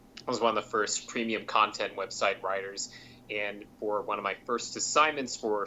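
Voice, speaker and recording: A man talks in an ordinary speaking voice, medium-pitched, at a moderate pace. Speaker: competitive card game player and writer. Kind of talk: interview discussion.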